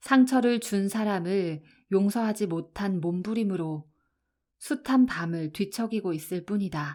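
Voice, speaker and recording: Speaking at a very slow pace, a woman with a medium pitch and a dark, mellow tone uses a calm, soothing tone on a very clean recording with a silent background. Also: ordinary pitch variation. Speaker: audiobook narrator. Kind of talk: audiobook reading.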